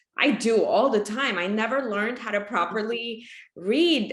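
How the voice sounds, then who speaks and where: A woman's voice sits at a fairly high pitch with a bright, sharp tone. Audible room echo surrounds it. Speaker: podcast host. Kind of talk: interview conversation.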